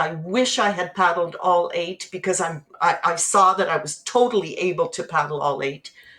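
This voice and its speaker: A woman speaks at a moderate pace and medium pitch. Noticeable background noise runs behind her. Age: 60s. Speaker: teacher and endurance athlete. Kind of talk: podcast interview. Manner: animated.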